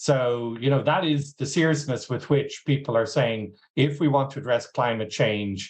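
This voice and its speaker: Speaking with an Irish accent at a moderate pace, a man shows ordinary pitch variation against a quiet background. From Ireland. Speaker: agtech executive. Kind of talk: interview.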